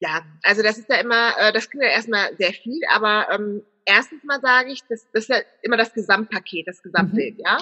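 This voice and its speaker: A woman's fairly high voice with ordinary pitch variation at a fairly quick pace. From Germany. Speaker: business consultant and personal branding expert. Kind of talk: interview. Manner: hesitant, many filler sounds.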